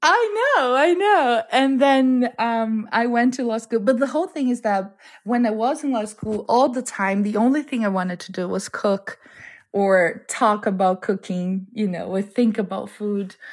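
A woman speaks with a Portuguese accent at a fairly slow pace. Her pitch is fairly high, and the recording is very clean with a silent background. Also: ordinary pitch variation. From Brazil (Amazon region). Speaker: home cook, cooking competition winner. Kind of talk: interview.

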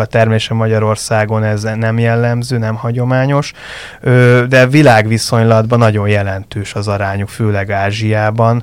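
There is noticeable background noise behind this man. He speaks at a very slow pace and medium pitch. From Budapest, Hungary. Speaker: fish farming industry association director. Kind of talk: interview.

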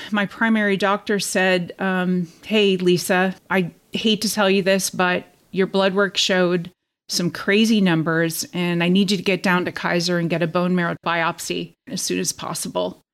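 A woman speaks at a moderate pace in a medium pitch, her intonation monotone and flat, on a very clean recording with a silent background. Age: 50s. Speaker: transplant survivor, teacher. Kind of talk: interview testimony.

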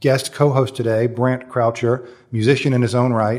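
A man is speaking. His voice is somewhat breathy. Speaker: magazine editor and podcast host. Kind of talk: interview, host intro. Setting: taping in a high-rise apartment building.

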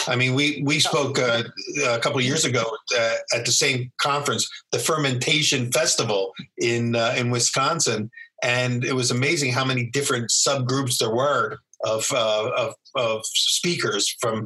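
A man speaks with a normal speaking voice at a medium pitch and a moderate pace. His loudness is very even and his intonation fairly even. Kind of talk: casual interview. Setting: video call.

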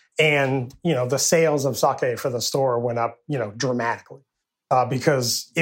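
On a very clean recording with a silent background, a man with an unremarkable speaking voice talks at a medium pitch and moderate pace, keeping his intonation fairly even. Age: 50s. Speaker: sake brewer and brewery owner. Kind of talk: casual interview.

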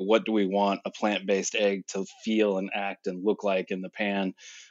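This man talks in an American accent, fairly low in pitch and moderate in pace. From US Midwest. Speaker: food product developer and chef. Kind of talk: panel discussion. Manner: halting, many repetitions and fillers.

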